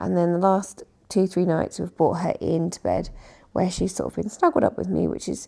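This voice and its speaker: A woman in a British accent at a moderate pace, on a very clean recording with a silent background. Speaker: decluttering vlogger. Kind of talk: casual vlog chat.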